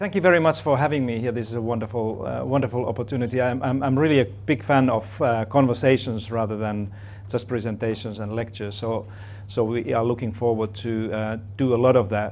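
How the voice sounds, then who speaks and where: Speaking at a fairly quick pace, a man holds a medium pitch with fairly even intonation. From Finland. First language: Finnish. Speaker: professor. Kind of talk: talk to an audience. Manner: halting, many fillers and repeats.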